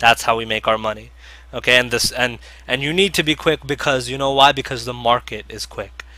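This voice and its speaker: Talking at a fairly quick pace, a man with a medium pitch and a bright, sharp tone shows vocal fry and ordinary pitch variation. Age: 20s. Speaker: penny stock trader and educator. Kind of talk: webinar presentation. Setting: online webinar. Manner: fast.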